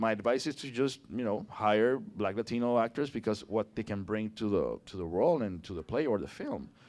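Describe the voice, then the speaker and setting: A man in a Puerto Rican accent, medium pitch, ordinary pitch variation, moderate pace. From Puerto Rico. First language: Spanish. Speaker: actor. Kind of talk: casual chat. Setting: public conversation in a brewery. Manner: animated.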